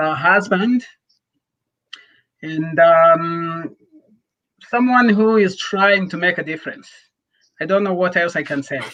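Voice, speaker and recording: With a non-native accent, a man speaks very slowly at a high pitch, showing ordinary pitch variation. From Rwanda. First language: not English. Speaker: nonprofit founder. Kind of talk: interview.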